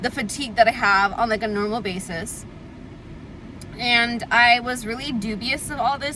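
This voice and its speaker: Through noticeable background noise, a woman speaks at a moderate pace in a fairly high pitch with fairly even intonation. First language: Tamil. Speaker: lifestyle vlogger. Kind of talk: casual chat. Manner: filler-heavy, frequent 'like'. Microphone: audio quality issue, air conditioner on.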